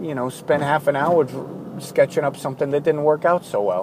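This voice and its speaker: A man's voice comes through alongside noticeable background noise. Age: 40s. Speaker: artist keeping an audio journal. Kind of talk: personal audio journal monologue. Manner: halting, with many fillers and restarts.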